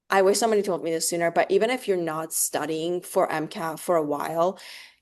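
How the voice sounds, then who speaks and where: A woman with a non-native accent speaks at a fairly low pitch. The background is quiet. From Oregon. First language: not English. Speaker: medical student. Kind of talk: interview.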